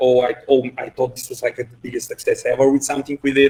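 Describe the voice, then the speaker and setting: The speaker is somewhat breathy, with a Bulgarian accent. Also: man. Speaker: head of engineering. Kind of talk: podcast interview. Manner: halting, many fillers.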